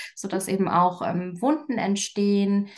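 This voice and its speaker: A woman's medium-pitched voice, an ordinary speaking voice, at a fairly slow pace with ordinary pitch variation. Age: 30s. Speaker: coach and communication expert. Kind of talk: casual interview.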